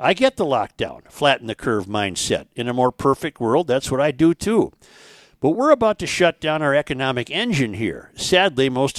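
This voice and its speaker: A man with a normal speaking voice talks in an American accent at medium pitch and a moderate pace, his intonation lively, in a very clean, dry, close recording with a silent background and no echo. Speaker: podcast host. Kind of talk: casual talk show. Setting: studio.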